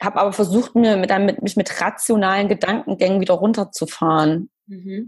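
A woman's somewhat breathy voice, with ordinary pitch variation, comes through against a quiet background. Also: medium pitch for a woman, moderate pace, hardly any pauses. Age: 30s. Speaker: blogger. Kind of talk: interview.

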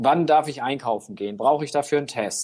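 The speaker is a man. His voice has a dark, mellow tone. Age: 40s. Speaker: newspaper reporter. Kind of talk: casual interview. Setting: remote call. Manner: hesitant with fillers.

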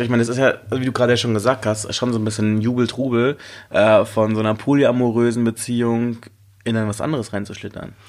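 A man talking at a very fast pace. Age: 30s. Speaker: DJ and dating podcast host. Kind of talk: casual chat.

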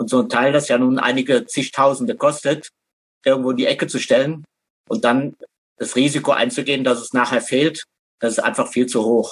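Using a normal speaking voice, a man keeps his intonation fairly even. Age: 60s. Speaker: pilgrimage hiker. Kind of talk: casual interview. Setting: internet call.

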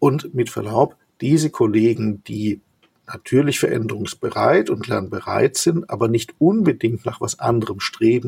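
Somewhat breathy, a man speaks at a moderate pace, medium in pitch with ordinary pitch variation. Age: 60s. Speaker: company executive. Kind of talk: interview. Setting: video call.

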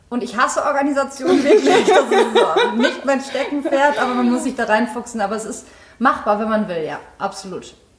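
A woman talks at a moderate pace with a high pitch and lively intonation. Noticeable background noise can be heard. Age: 30s. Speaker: actress. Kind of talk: casual chat. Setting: in-person recording.

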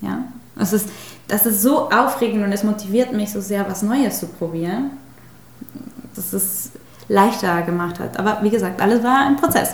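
In a Spanish accent, a woman of medium pitch talks at a moderate pace with ordinary pitch variation and long, frequent pauses. Audible room echo and noticeable background noise surround her. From Mexico. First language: Spanish (speaking German). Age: 30s. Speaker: spiritual healer. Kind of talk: interview.

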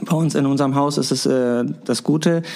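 A man's voice amid noticeable background noise. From Hamburg-Wilhelmsburg. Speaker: daycare educator. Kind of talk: interview.

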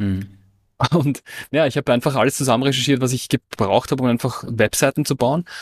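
Recorded very cleanly against a silent background, a man talks at medium pitch with ordinary pitch variation and a dry, close sound with no echo. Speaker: online entrepreneur and business coach. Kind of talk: casual interview conversation.

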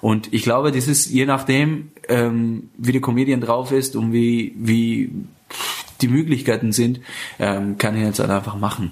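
At a fairly slow pace, a man speaks in a plain, everyday voice at medium pitch with fairly even intonation. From Iran, Afghan family. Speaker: stand-up comedian and show host. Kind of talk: casual interview. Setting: living room, portable recorder.

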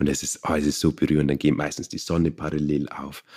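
A man talks at a fairly quick pace in a very deep, low pitch with a dark, mellow tone. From Bavaria. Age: 30s. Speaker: meditation teacher. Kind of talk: interview.

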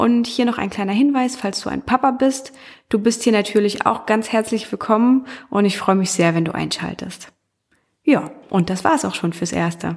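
Speaking at a moderate pace, a woman with a fairly high pitch uses ordinary pitch variation. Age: 30s. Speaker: podcast host. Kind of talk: solo podcast monologue. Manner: hesitant with many fillers.

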